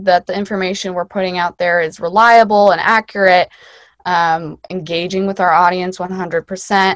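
Delivered at a moderate pace, this is a normal speaking voice with an American accent. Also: woman, dry, close sound with no echo. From US Midwest, Chicago suburbs. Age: 20s. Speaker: public health student. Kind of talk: casual interview.

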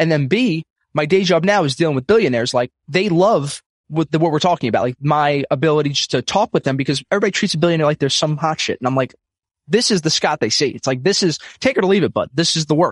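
Talking at a very fast pace with a New York accent, a man uses a fairly high pitch and ordinary pitch variation in a dry, close sound with no echo. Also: quiet background. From US, Brooklyn, New York. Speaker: financial advisor, podcaster and comedian. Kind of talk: casual chat.

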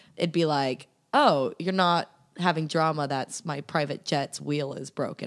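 A woman speaks at a moderate pace with a very deep, low pitch and vocal fry. Her intonation is fairly even, and the recording is very clean with a silent background. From US Southwest and California/Texas. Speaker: podcast guest. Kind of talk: casual chat.

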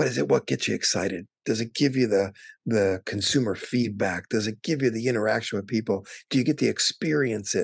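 A man with an American accent talks at a fairly quick pace with a fairly low pitch, lively intonation and vocal fry. The sound is dry and close with no echo, against a quiet background. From Wisconsin. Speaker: travel industry association executive. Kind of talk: interview.

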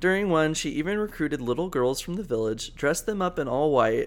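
A man with a normal speaking voice and a fairly high pitch uses lively intonation in a very clean recording with a silent background. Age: 20s. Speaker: podcast co-host. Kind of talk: casual chat.

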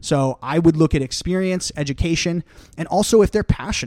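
The sound is dry and close with no echo, carrying a man's plain, everyday voice. He talks at a fairly quick pace with ordinary pitch variation. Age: 20s. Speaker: financial advisor and podcast host. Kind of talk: casual chat.

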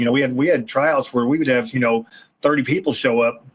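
A man talks at a fairly quick pace in a plain, everyday voice. His pitch sits in the medium range. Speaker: retired police K9 handler and trainer. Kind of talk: casual interview conversation.

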